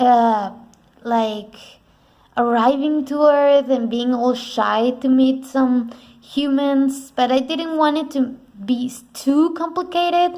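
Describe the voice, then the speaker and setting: Speaking at a very slow pace, a woman has a high pitch, ordinary pitch variation, and a dark, mellow tone. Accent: non-native. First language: not English. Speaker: artist, art vlogger. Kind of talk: casual narrated sketchbook tour. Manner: halting, with fillers and restarts.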